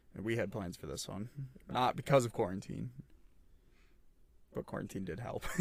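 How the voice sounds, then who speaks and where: Delivered at a moderate pace with long, frequent pauses, the speech has lively intonation and vocal fry. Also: man, fairly low pitch for a man. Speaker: podcast host. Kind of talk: casual chat. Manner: stuttering, halting. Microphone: audio gets bad towards end.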